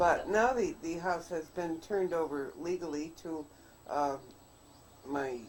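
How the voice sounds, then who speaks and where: This woman speaks at a fairly slow pace with ordinary pitch variation. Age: 80s+. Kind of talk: casual chat.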